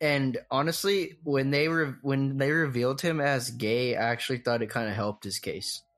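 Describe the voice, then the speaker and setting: Against a quiet background, a man with an unremarkable speaking voice talks at a moderate pace with hardly any pauses, his fairly high pitch showing ordinary pitch variation. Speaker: podcast host. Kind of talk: casual comedy chat.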